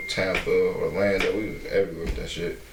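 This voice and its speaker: Over noticeable background noise, a man talks at a moderate pace. Room echo is audible. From Detroit, US Midwest. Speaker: rapper. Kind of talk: casual chat. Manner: quiet, hard to hear.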